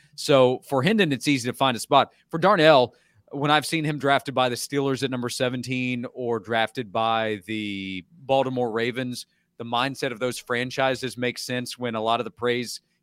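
In a very clean recording with a silent background, a man talks at a moderate pace with fairly even intonation. He has medium pitch and a plain, everyday voice. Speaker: college football analyst. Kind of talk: casual sports talk.

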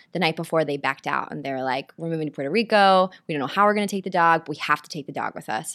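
Very fast and very deep, low in pitch, a woman speaks with ordinary pitch variation in a very clean recording with a silent background. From Nashville, Tennessee. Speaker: stage actress. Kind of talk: casual interview chat.

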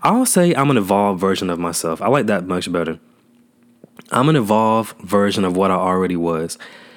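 A man speaks with a fairly low pitch. His pitch varies in an ordinary way. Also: fairly quick pace. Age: 20s. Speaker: podcaster. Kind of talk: casual monologue. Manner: rambling.

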